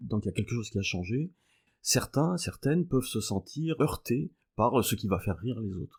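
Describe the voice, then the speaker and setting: In a very clean recording with a silent background, a man speaks at a medium pitch and moderate pace, somewhat breathy, with lively intonation. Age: 60s. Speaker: mathematics professor. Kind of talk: podcast interview. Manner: hesitant, many filler sounds.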